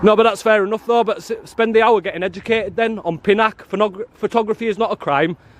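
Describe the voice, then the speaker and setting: Loud and animated, a man with a northern English accent races at a very fast pace with hardly any pauses and a high pitch, in a dry, close sound with no echo. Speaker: auditor. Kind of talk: confrontational street filming. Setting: outdoors.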